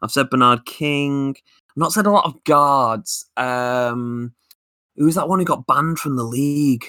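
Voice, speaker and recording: In a very clean recording with a silent background and a dry, close sound with no echo, a man with a Lancashire accent talks at a fairly slow pace with a bright, sharp tone and ordinary pitch variation. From Lancashire, northern England. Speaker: podcast co-host. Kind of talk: casual chat.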